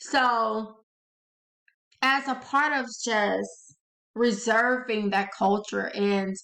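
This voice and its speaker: Speaking in a strong Southern US accent, a woman has a fairly high pitch, fairly even intonation and very even loudness. Her pace is very slow, with long, frequent pauses. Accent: thick Southern. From US South, Louisiana. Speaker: author and channel host. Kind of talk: casual talk to camera. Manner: expressive; hesitant with fillers.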